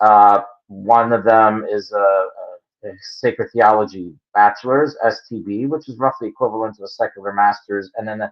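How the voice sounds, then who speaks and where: This man speaks with a Philadelphia accent. His intonation is fairly even. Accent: Philadelphia American. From Philadelphia, US. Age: 60s. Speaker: creationist geologist. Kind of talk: interview answers. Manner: halting, many fillers.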